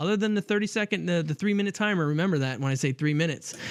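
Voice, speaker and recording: An animated man with a high pitch, lively intonation and a very fast pace. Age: 40s. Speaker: podcast host. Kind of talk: casual chat.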